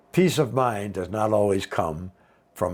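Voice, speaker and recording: Heard on a very clean recording with a silent background, a man with an American accent talks very slowly at a fairly low pitch. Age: 60s. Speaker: retiree vlogger. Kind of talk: casual talk to camera. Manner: conversational.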